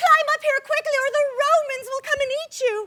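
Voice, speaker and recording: Using a put-on character voice, a woman squeaks at an extremely high pitch with ordinary pitch variation, big swings in loudness and a moderate pace, in a dry, close sound with no echo. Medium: stage play. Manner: hesitant, apologetic.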